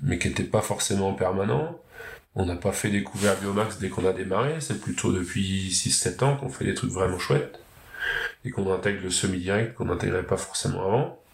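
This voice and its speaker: A man is speaking. His pitch is fairly low. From Normandy (Pays de Caux), France. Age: 30s. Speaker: farmer and agricultural trainer. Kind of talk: interview. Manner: hesitant, many fillers.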